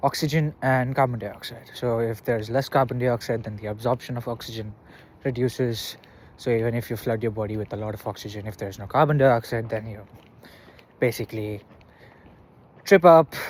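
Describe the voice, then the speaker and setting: Recorded very cleanly against a silent background, a man with a medium pitch speaks at a fairly quick pace in a somewhat breathy voice, with fairly even intonation and long, frequent pauses. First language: not English. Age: 20s. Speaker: vlogger. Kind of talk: casual monologue vlog. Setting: outdoors, walking. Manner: halting, with fillers.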